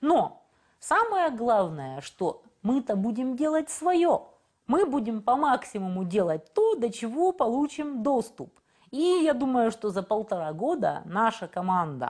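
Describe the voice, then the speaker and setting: A woman speaks at a very slow pace and a high pitch, her voice making very wide pitch swings. The background is quiet. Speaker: interview guest, local politician. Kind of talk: interview answer. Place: studio. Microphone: lapel.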